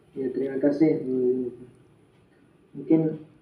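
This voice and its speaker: In a dark, mellow tone, a man speaks at a fairly slow pace with monotone, flat intonation and fairly high pitch, with audible room echo. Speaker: Arabic language teacher. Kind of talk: online class discussion. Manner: hesitant with fillers.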